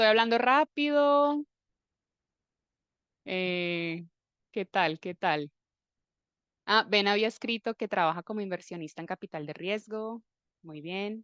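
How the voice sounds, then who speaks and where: Very slow, with long, frequent pauses, a woman at medium pitch speaks with lively intonation and big swings in loudness, in a dry, close sound with no echo against a quiet background. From Colombia, Armenia (Eje Cafetero). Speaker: Spanish teacher. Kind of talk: live online class.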